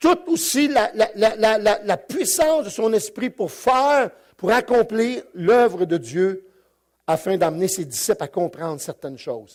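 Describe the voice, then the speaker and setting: With a Quebec accent, a man speaks at a high pitch and a fairly slow pace with very wide pitch swings, on a very clean recording with a silent background. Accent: Québécois French. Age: 60s. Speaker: pastor. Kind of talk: sermon. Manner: halting, many repetitions and fillers.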